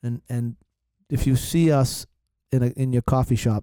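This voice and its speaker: This man speaks at a medium pitch with a Boston accent and a dark, mellow tone. The sound is dry and close, with no echo. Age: 40s. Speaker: podcast host. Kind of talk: casual chat.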